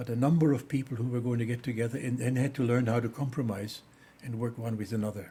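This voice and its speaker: A man with a German accent speaks at a very fast pace in a medium-pitched voice. His tone is dark and mellow, and somewhat breathy. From Germany. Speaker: theologian. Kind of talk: interview. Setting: studio. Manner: halting.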